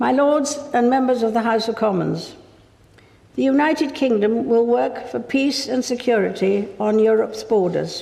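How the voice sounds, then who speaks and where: A woman is talking, her voice pitched fairly high. Noticeable background noise can be heard throughout. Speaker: monarch. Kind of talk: formal state address read from script. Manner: measured, formal.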